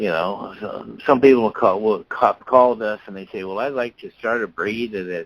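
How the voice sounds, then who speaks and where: A man with an American accent speaks in a plain, everyday voice at a fairly low pitch and moderate pace, with ordinary pitch variation and a dry, close sound with no echo. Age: 60s. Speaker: dog breeder and registry founder. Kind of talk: interview.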